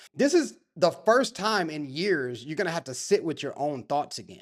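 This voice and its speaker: On a very clean recording with a silent background, a man talks at a moderate pace in a fairly high, animated voice with very wide pitch swings. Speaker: podcast host. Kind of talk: casual monologue. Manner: stutters.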